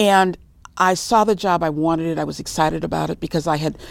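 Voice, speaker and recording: A woman with an ordinary speaking voice and an American accent talks at a moderate pace, her pitch fairly low with ordinary variation. The recording is very clean, with a silent background. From Los Angeles, California. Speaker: gerontologist, senior care manager. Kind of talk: interview.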